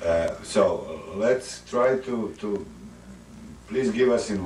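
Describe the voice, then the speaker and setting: The somewhat breathy voice carries a non-native accent, with audible room echo around it. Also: man. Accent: foreign. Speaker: interviewer. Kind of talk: interview. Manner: halting.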